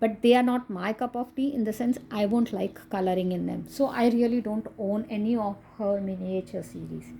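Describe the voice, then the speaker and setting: This speaker has a dark, mellow tone, somewhat breathy, with a Goan accent, fairly even intonation and a moderate pace. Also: woman, fairly high pitch for a woman, hardly any pauses. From India, Maharashtra. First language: Konkani. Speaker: coloring book reviewer. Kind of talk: casual video review.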